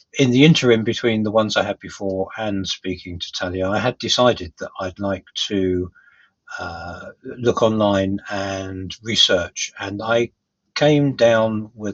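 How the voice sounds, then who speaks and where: A man with a London accent, fairly low in pitch, fairly slow and fairly even in intonation. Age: 60s. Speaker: hearing aid customer. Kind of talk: testimonial. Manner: hesitant, many fillers.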